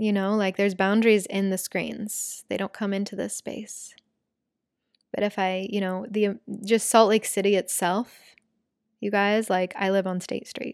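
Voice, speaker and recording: A woman at medium pitch speaks at a moderate pace, her voice dry and close with no echo, on a very clean recording with a silent background. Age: 20s. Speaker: podcast host and spiritual teacher. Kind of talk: casual monologue. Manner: animated.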